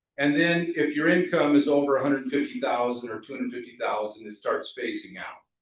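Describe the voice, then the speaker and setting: A man speaks at a fairly quick pace. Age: 60s. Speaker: tax advisor. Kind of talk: seminar presentation.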